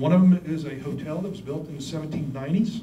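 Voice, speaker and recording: A man with an American accent speaks at a fairly high pitch. His pitch variation is ordinary, and audible room echo surrounds him. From West Virginia. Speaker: economist; presenter. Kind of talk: presentation. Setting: hotel meeting room with audience. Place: meeting room.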